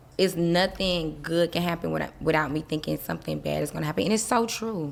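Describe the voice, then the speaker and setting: A woman's very deep, low voice at a very fast pace. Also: ordinary pitch variation. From US South, Miami. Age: 30s. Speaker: interview guest. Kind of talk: casual interview.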